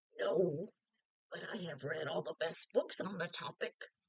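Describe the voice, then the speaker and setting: A raspy, put-on character voice at a middle pitch and a moderate pace. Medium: read story.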